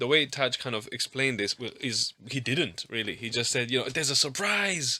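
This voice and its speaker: A man talks at a fairly quick pace in a bright, sharp tone, with a non-native accent. His pitch sits in the medium range. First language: not English. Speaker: pastor. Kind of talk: casual chat. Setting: studio.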